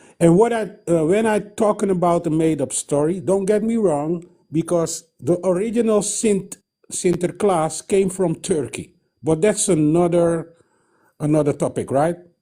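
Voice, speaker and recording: In a Surinamese accent, a man speaks at a high pitch. His pitch variation is ordinary. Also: moderate pace. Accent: Surinamese Dutch accent in English. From Suriname (Dutch Guiana). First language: Dutch. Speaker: caller. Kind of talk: call-in comment. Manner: halting.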